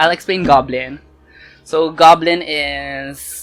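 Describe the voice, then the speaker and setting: Over music in the background, a woman with a very deep, low pitch speaks with fairly even intonation. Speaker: K-drama reviewer. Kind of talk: casual talk to camera, review. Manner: code-switching Taglish.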